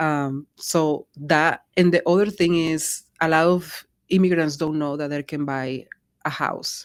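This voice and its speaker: Speaking with a Spanish accent in a very deep, low pitch, a woman talks at a fairly slow pace with fairly even intonation, on a very clean recording with a silent background. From Colombia. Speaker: real estate agent. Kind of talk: interview conversation.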